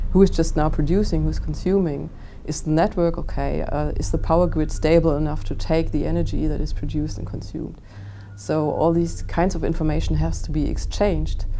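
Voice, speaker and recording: A woman talks at a fairly quick pace, with audible room echo and noticeable background noise. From Germany. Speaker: enterprise architecture expert. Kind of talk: interview.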